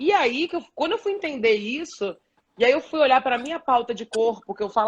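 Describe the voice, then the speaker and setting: This woman's high voice rises and falls with lively intonation. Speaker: journalist and body positivity activist. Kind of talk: live stream panel discussion. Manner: fast.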